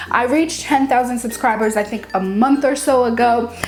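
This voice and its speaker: A woman speaks in an upbeat tone at a fairly quick pace. Music plays in the background. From Haiti. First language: Haitian Creole / French. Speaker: cake decorating YouTuber. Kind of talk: casual Q&A vlog. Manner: casual, upbeat.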